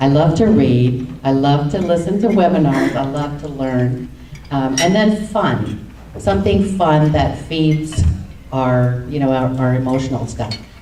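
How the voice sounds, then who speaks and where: A woman's very deep, low voice moves with lively intonation. Audible room echo and noticeable background noise surround her. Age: 60s. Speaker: panelist, nonprofit program worker. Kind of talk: panel discussion. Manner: halting.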